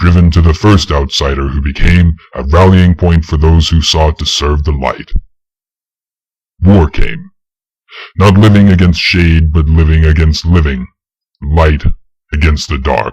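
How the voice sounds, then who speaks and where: With long, frequent pauses, a man speaks at a moderate pace in a very deep, low pitch and fairly even intonation. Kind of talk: solemn legend narration. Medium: read story. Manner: measured, grave.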